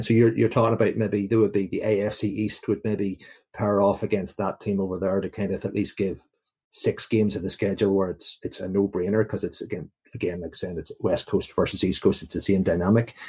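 A fairly low, somewhat breathy man's voice at a very fast pace. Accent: Northern Irish. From Belfast, Northern Ireland. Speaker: Jets fan, listener spotlight guest. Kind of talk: casual interview chat. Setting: remote call from UK. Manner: chatty, upbeat.

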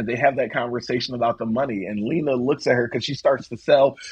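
A man's somewhat breathy voice at a very fast pace. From South Philadelphia, US. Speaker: theatre director and archivist. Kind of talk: casual chat.

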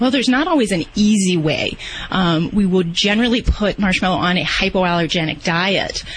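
A woman talks with ordinary pitch variation and very even loudness. Noticeable background noise runs underneath. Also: medium pitch for a woman, moderate pace. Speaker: veterinarian. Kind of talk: radio call-in advice.

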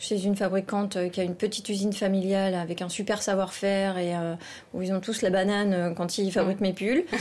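Speaking at a fairly quick pace, a woman uses a medium pitch. Her intonation is monotone and flat. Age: 40s. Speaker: knitwear fashion designer. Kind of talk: interview. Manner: hesitant, many fillers.

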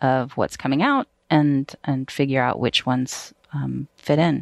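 With an American accent, a woman speaks in a very deep, low voice and fairly even intonation, the sound dry and close without echo. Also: quiet background. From US South. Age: 40s. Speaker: TV network executive. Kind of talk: casual chat. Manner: halting, many fillers and restarts.

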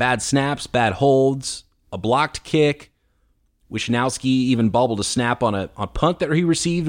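Here a man is talking, his pitch medium and his intonation varying in an ordinary way. Nothing can be heard behind him on this very clean recording. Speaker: sports podcast host. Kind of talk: solo sports podcast commentary. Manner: fast.

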